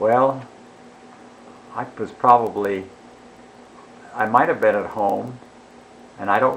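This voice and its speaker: With an American accent, a man speaks at a moderate pace in a fairly low voice. His intonation is fairly even, and background noise is noticeable. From Chicago. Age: 80s+. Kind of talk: interview answer.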